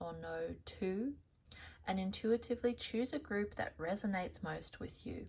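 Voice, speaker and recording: At a fairly slow pace, a woman speaks with an Australian accent. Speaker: tarot reader. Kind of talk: tarot reading to camera.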